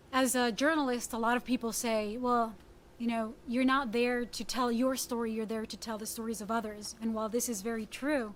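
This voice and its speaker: In a Spanish accent, a woman with a fairly high pitch speaks at a fairly quick pace in a monotone, flat way. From Puerto Rico. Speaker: journalist. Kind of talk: talk.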